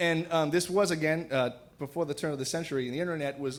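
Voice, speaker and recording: Here a man talks at a fairly quick pace. He has an ordinary speaking voice with ordinary pitch variation. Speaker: storyteller. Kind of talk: live storytelling performance. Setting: live stage with audience. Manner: casual, humorous.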